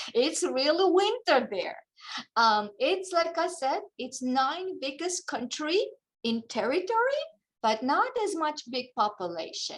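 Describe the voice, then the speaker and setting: At a fairly slow pace, a woman speaks in a high pitch with very wide pitch swings. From Kazakhstan. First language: Russian. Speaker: English teacher. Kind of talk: talk to students over video call. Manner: halting.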